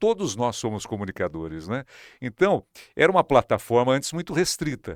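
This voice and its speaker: A man at medium pitch with very wide pitch swings, very clean recording with a silent background, dry, close sound with no echo. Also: moderate pace. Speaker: radio and TV broadcaster, news presenter. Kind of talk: interview answer.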